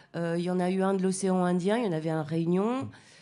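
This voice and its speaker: This woman has a dark, mellow tone at medium pitch. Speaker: slam poet. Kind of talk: radio interview answer.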